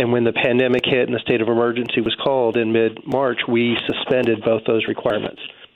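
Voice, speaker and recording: A man's medium-pitched voice at a very fast pace, monotone and flat, with very even loudness and hardly any pauses, over noticeable background noise. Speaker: unemployment office director. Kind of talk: radio interview, informational.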